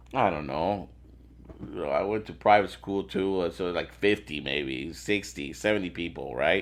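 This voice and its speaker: In a Spanish accent, a man with a very deep, low voice and vocal fry talks at a fairly slow pace with lively intonation. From Venezuela, moved to US around age 10-11. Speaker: sales executive. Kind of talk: casual chat. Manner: halting, many repetitions and fillers.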